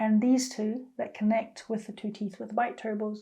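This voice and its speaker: Speaking at a fairly slow pace, a woman has a fairly high pitch and a dark, mellow, somewhat breathy tone. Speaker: vlogger. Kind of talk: personal vlog update. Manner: casual, conversational.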